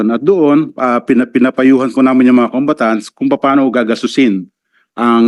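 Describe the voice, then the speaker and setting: Medium in pitch, a man talks at a moderate pace with ordinary pitch variation. The sound is dry and close, with no echo. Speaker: welfare department undersecretary. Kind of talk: testimony at senate hearing. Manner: formal; halting.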